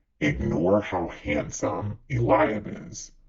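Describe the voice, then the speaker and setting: Using a put-on character voice, a man speaks at a very slow pace and a fairly low pitch with very wide pitch swings. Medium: read story. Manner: calm, authoritative.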